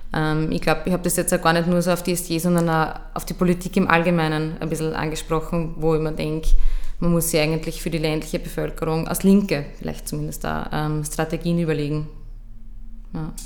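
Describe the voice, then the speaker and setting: Spoken in an Austrian accent at a fairly quick pace, the delivery stays monotone and flat. The room echo is audible, and there is noticeable background noise. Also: woman, fairly low pitch for a woman. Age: 20s. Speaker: youth politician. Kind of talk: interview.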